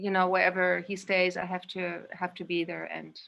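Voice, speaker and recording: Her intonation monotone and flat, a woman talks with a German accent. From Indonesia and Spain. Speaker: guest, yoga practitioner. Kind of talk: personal recollection.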